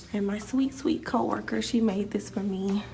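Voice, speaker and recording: A woman whispering quietly at a moderate pace, audible room echo and noticeable background noise around her. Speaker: teacher and vlogger. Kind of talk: casual vlog tour. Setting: empty classroom.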